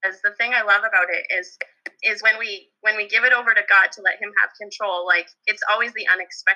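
Speaking fairly quickly, a woman with a Canadian Prairies accent keeps a monotone, flat intonation at a fairly high pitch. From Alberta, Canada. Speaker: elementary school teacher. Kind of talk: casual chat.

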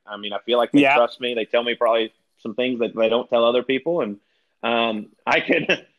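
A man with a Southern US accent at medium pitch, fairly quick in pace and fairly even in intonation. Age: 30s. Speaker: retired pro golfer, golf broadcaster. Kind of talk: casual chat.

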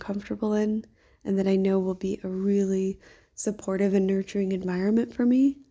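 A woman's medium-pitched voice, dark and mellow in tone, at a moderate pace in a very clean recording with a silent background. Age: 30s. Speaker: podcaster, kindergarten worker. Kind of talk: audio diary monologue. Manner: casual, filler-heavy.

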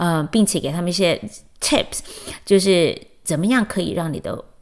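Medium pitch marks this voice. It belongs to a woman. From Taiwan, Chiayi. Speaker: podcast host, educator and mother. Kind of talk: personal monologue. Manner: hesitant, many fillers.

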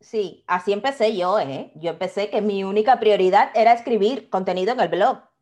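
A woman with an ordinary speaking voice talks at a moderate pace with hardly any pauses, her medium pitch showing ordinary variation. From Cuba, Havana. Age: 30s. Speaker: quality consultant and online business owner. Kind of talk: interview conversation.

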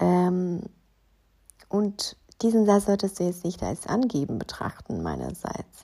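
At a very slow pace, a woman with a dark, mellow tone and medium pitch speaks with ordinary pitch variation and long, frequent pauses. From Ukraine. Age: 30s. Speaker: fashion stylist and podcaster. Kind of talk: solo podcast monologue.

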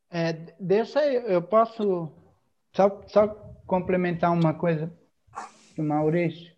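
Speaking very slowly with long, frequent pauses, a man uses a high pitch and ordinary pitch variation. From Santa Catarina coast near Florianópolis, Brazil. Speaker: church group leader. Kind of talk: casual chat.

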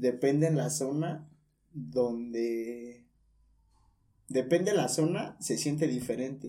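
A man speaks very slowly with long, frequent pauses. His tone is dark and mellow, his intonation lively. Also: medium pitch for a man. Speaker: communication student. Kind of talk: casual chat.

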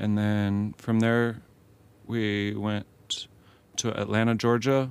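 Quiet and in a monotone, flat intonation, a man talks with an American accent. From US, military family moving around. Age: 30s. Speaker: professional disc golfer. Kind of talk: interview. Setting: van studio. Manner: quiet, unassuming; halting with repeated words.

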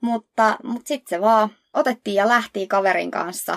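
A woman speaks in a plain, everyday voice at a moderate pace with fairly even intonation. The sound is dry and close, with no echo. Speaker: podcast co-host. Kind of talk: casual chat.

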